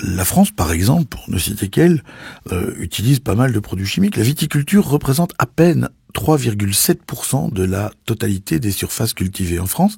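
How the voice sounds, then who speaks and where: A man with a dark, mellow tone talks at a fairly quick pace, fairly low in pitch and somewhat breathy, with very wide pitch swings. The very clean recording is dry and close, with no echo and a silent background. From Belgium. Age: 50s. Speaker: sommelier. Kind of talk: podcast commentary. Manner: animated.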